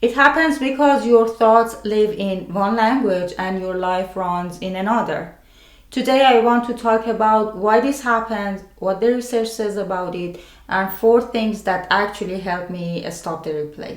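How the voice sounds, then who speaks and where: Speaking at a fairly slow pace with a non-native accent, a woman uses a fairly high pitch and ordinary pitch variation, with audible room echo around her. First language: not English. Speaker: mental health video creator. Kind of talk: scripted narration.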